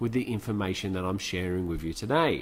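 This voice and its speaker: A man speaks with an Australian accent. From Australia (Sydney area). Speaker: motivational speaker. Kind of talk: webinar presentation.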